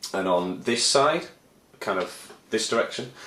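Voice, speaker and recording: Audible room echo surrounds the voice. A man speaks in a Leeds accent. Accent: northern English, Leeds. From northern England, Leeds. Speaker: aspiring composer and video blogger. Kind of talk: casual vlog monologue. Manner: rambling, hesitant with many fillers.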